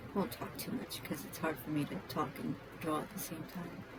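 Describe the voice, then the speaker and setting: A soft-spoken woman with a very deep, low pitch and ordinary pitch variation talks over noticeable background noise. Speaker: tabletop role-player and hobby artist. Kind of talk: casual talk while drawing.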